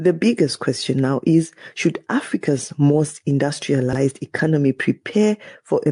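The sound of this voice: At a moderate pace, a man speaks with a medium pitch, a dark, mellow tone and a slightly husky edge, in a dry, close sound with no echo.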